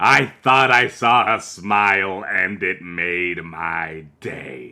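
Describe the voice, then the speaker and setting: A man puts on a raspy, menacing character voice. The recording is very clean, with a silent background. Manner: shouting.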